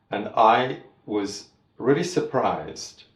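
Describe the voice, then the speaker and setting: A man is speaking. Audible room echo colors the sound. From Trinidad and Tobago. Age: 70s. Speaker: master tailor. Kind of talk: interview storytelling. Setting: in-person interview.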